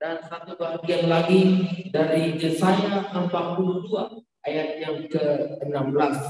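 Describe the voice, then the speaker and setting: Ordinary pitch variation carries through strong room echo and light background noise. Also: man. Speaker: church event host. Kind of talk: formal welcome and prayer. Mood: solemn, reverent. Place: church.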